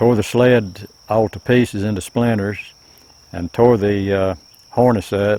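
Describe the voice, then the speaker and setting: Speaking in an Appalachian accent, a man uses a fairly low pitch and fairly even intonation. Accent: Appalachian Southern American. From Buncombe County, North Carolina mountains. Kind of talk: oral history interview answer. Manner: hesitant, reminiscing.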